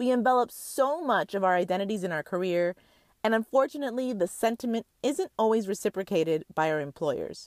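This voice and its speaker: Fairly high in pitch, a woman talks in an unremarkable speaking voice. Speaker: podcast host. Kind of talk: sales pitch, ad read.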